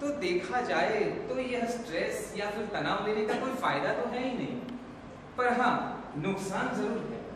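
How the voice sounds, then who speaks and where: A man speaks at a fairly slow pace in a high voice. Strong room echo and noticeable background noise fill the recording. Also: ordinary pitch variation. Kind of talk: staged skit dialogue, advice speech. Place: hall. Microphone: camera far.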